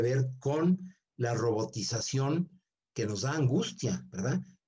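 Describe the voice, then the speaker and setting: A man at medium pitch with a dark, mellow, somewhat breathy tone, speaking at a very slow pace. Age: 70s. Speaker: seminar speaker. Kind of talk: lecture.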